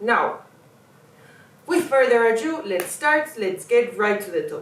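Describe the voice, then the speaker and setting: With a non-native accent, a woman speaks at a fairly slow pace in a high voice over noticeable background noise. Her pitch swings very widely and her loudness shifts a lot. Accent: non-native English, self-noted pronunciation. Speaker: artist and video essayist. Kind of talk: video essay monologue. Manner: impassioned, urgent; slight stumbles and fillers.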